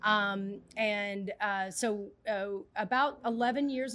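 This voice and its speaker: A woman with an American accent has a plain, everyday voice, medium in pitch, with fairly even intonation. The recording is very clean, with a silent background. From US South, Mississippi. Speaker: nonprofit urban farm director. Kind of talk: interview. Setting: vertical farm space.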